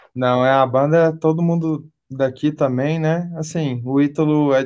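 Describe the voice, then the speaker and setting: Here a man talks at a fairly slow pace in a fairly high pitch. His intonation stays fairly even. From Brazil, Belo Horizonte (Minas Gerais). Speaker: rock band vocalist. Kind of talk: interview.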